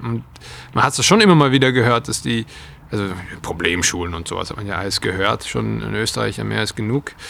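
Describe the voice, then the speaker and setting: At a fairly quick pace, a man speaks in a medium pitch with ordinary pitch variation. Noticeable background noise runs under his voice. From Austria. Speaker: trend and futures researcher. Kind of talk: interview.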